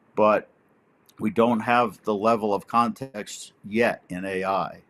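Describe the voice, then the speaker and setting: A fairly low-pitched man with an American accent, on a very clean recording with a silent background. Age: 70s. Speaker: army veteran and technology professional. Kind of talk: podcast interview.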